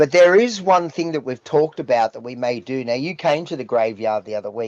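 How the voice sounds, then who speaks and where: Lively intonation marks this man's fairly quick speech, delivered with an Australian accent at a fairly high pitch in a dry, close sound with no echo. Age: 60s. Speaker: rock singer. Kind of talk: casual interview chat.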